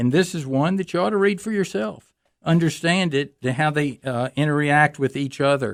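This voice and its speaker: A man with an ordinary speaking voice talks at a moderate pace and a fairly high pitch, with ordinary pitch variation. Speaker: radio host, retired judge and firearms instructor. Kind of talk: radio call-in talk show.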